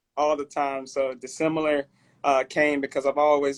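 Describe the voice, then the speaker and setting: Speaking with a Southern US accent, a man talks at a moderate pace and medium pitch in a monotone, flat intonation, with a dry, close sound with no echo. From Alabama, Mobile. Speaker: clothing brand owner. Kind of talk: interview.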